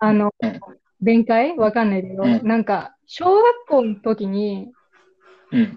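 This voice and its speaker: A woman with a plain, everyday voice speaks at a fairly slow pace, with a fairly high pitch and ordinary pitch variation. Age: 20s. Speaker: podcast host. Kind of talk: casual chat.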